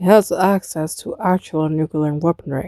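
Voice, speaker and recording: A woman's put-on character voice, fairly low in pitch, at a moderate pace. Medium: read story. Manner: deadpan, dry.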